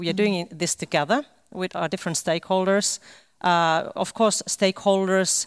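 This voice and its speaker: A woman speaks at a fairly quick pace with a Finnish accent. The sound is dry and close, with no echo. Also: very clean recording, silent background. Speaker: government official. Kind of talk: panel discussion. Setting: stage with live stream.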